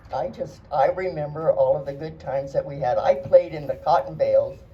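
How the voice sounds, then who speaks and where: A woman at a moderate pace with an American accent, amid noticeable background noise. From Arizona. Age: 80s+. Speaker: longtime local resident. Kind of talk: reminiscence speech. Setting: community gathering at museum.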